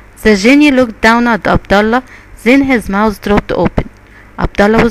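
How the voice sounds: Here is a natural reading voice, its pitch varying in an ordinary way.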